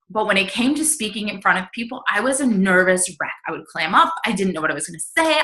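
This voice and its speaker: Noticeable background noise runs under this recording. A woman speaks at a medium pitch and a fairly quick pace. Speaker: health and fitness coach. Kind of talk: group video call presentation. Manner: fast.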